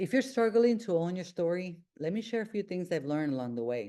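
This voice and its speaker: Very wide pitch swings in a dark, mellow tone, with a Honduran accent and a quiet background. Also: woman. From Honduras. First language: Spanish. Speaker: self-help podcast host. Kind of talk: motivational monologue. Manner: halting.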